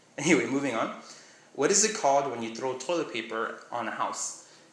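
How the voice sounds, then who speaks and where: The speech moves at a moderate pace with lively intonation. Audible room echo and noticeable background noise are present. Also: man. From Miami, Florida. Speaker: vlogger. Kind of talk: casual vlog, reading a question list. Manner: casual, rambling.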